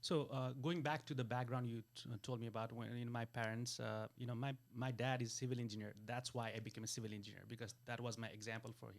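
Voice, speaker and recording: A man with a Nepali accent speaks very fast in a medium pitch, with hardly any pauses and monotone, flat intonation. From Nepal, Kathmandu. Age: 40s. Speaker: wealth business coach. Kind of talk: interview conversation. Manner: halting, many fillers.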